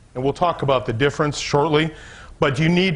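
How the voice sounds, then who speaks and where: Fairly high male voice, somewhat breathy, with ordinary pitch variation. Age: 60s. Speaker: business coach. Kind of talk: seminar talk to a live audience. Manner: conversational, some false starts.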